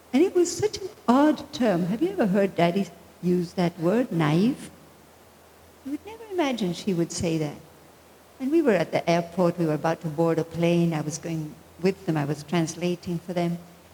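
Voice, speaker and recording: Noticeable background noise surrounds a woman speaking at a moderate pace with a fairly low pitch and lively intonation. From Argentina. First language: Spanish. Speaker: spiritual teacher. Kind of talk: spiritual talk.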